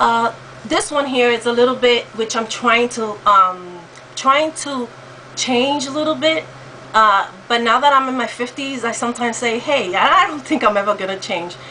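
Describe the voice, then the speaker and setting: A high-pitched woman with an American accent talks at a moderate pace with lively intonation against noticeable background noise. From New York. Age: 50s. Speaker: vlogger. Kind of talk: casual talk to camera. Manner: hesitant, many fillers.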